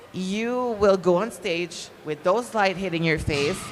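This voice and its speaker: A woman's fairly low voice with a non-native accent, at a fairly slow pace. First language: not English. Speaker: pro bodybuilding competitor. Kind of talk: seminar talk. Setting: live seminar with audience.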